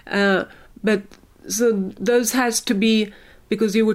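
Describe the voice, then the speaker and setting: Speaking with a Swedish accent, a woman uses a fairly high pitch and ordinary pitch variation at a fairly slow pace. The recording is very clean, with a silent background. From Sweden. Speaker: science communication expert. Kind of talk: interview. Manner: halting.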